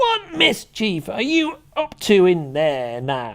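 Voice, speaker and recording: A man does a put-on character voice, high and shrill. He delivers it at a very slow pace. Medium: read story. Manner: nagging, spiteful.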